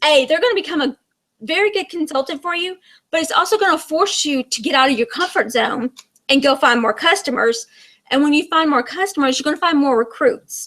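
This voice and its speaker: Bright and sharp in tone, a woman's high-pitched voice moves at a fairly quick pace. Her intonation is lively. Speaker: direct sales team leader. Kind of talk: online training presentation. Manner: fast.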